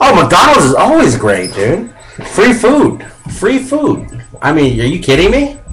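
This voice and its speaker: Against noticeable background noise and audible room echo, a man with an American accent and a high pitch speaks fairly slowly in an animated tone, with very wide pitch swings and very even loudness. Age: 30s. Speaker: radio host. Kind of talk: casual chat.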